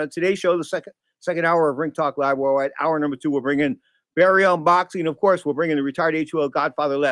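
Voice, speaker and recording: A man's animated, very fast, high-pitched voice with ordinary pitch variation, in a dry, close sound with no echo. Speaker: boxing radio host. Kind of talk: live sports talk show. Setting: studio.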